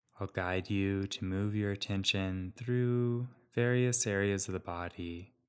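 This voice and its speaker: A man with an ordinary speaking voice talks at a fairly low pitch. His pace is fairly slow and his intonation fairly even. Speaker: meditation guide. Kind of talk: guided meditation. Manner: slow, calm, soothing, with long pauses; gentle, soft-spoken.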